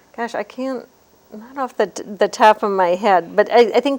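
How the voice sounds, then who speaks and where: A woman talks at a moderate pace with ordinary pitch variation. Hers is an unremarkable speaking voice. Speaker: handwriting analyst. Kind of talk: interview.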